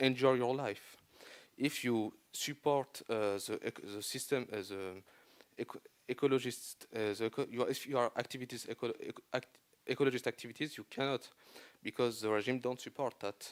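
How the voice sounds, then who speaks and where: The sound is dry and close, with no echo, as a man speaks at a moderate pace. His pitch is medium and his intonation fairly even. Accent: French. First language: French. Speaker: son of a peace prize laureate. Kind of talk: panel interview. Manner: halting.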